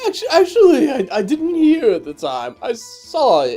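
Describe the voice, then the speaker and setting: Over faint music in the background, a put-on character voice moves at a moderate pace. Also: man. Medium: game stream. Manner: stammering, flustered.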